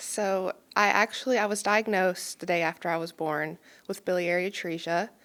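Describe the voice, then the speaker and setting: In a very clean recording with a silent background, a woman talks at a moderate pace and medium pitch with fairly even intonation. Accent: slight Kentucky. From Kentucky, Pikeville (Appalachia). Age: 20s. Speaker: transplant recipient and donation advocate. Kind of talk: podcast interview, personal story. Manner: hesitant fillers, frequent um.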